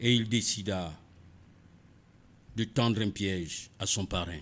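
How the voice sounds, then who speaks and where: A man's very slow speech at a fairly low pitch, with ordinary pitch variation. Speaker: radio storyteller. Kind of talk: read story. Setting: studio.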